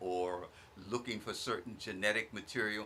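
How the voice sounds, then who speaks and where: A man with a bright, sharp tone. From Virginia, US South. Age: 70s. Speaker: guest speaker on community radio. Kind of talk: radio talk show discussion.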